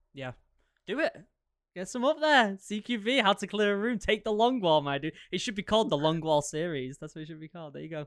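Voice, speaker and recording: A man's high-pitched voice with an American accent, fairly quick in pace, with very wide pitch swings. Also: big swings in loudness. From Maine, US. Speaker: podcast host. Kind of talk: casual chat. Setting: video call.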